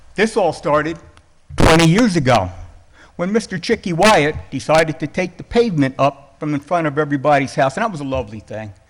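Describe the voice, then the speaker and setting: Loud and fairly quick, the voice moves through very wide pitch swings. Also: man, fairly high pitch for a man. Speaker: resident speaking at public comment. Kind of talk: public comment at town board meeting. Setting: town board meeting hall. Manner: softer since hearing aids.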